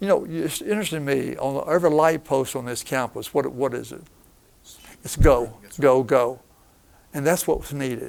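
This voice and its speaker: This man's fairly high voice has ordinary pitch variation and vocal fry, moving at a moderate pace with big swings in loudness. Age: 80s+. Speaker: retired professor of missions and former missionary. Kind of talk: interview.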